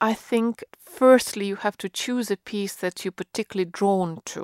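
With a Russian accent and fairly even intonation, the speaker keeps a moderate pace in a dry, close sound with no echo. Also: woman. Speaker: concert pianist. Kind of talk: interview. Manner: halting.

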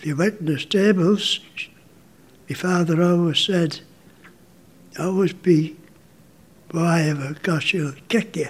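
Amid noticeable background noise, a man with a high pitch talks at a fairly slow pace with long, frequent pauses and ordinary pitch variation. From Isle of Man. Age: 90s. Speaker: elderly retired baker and army veteran. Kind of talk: elderly life-story reminiscence, casual interview. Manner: unhurried, chatty, gently laughing; reflective, rambling anecdotes.

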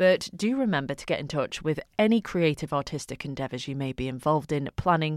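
Lively and fairly quick, a woman speaks in a dry, close sound with no echo. The recording is very clean, with a silent background. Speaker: radio presenter. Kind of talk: radio show presenting and interviewing. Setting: radio studio.

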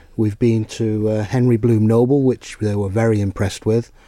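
A man's fairly low, dark, mellow voice, monotone and flat, at a moderate pace in a very clean recording with a silent background. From Isle of Man. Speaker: bank employee. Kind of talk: radio interview.

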